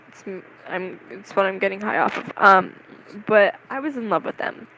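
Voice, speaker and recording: A woman's voice with big swings in loudness over noticeable background noise. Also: medium pitch for a woman, ordinary pitch variation, moderate pace. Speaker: vlogger. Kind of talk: casual monologue.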